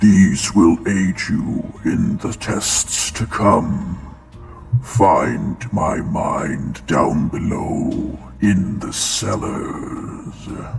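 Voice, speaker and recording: A man uses a put-on character voice at a very slow pace. There is clear echo and faint music in the background. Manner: ominous, echoing within the mind.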